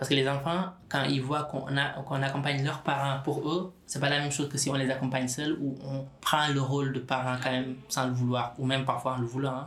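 With hardly any pauses, a man speaks in a fairly high pitch and a monotone, flat intonation over noticeable background noise. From Senegal. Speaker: specialised social worker. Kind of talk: interview. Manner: halting, many repetitions and fillers.

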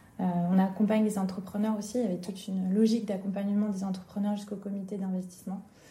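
Over noticeable background noise and audible room echo, a woman speaks very fast at a medium pitch with monotone, flat intonation. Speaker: entrepreneur. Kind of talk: interview. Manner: talkative.

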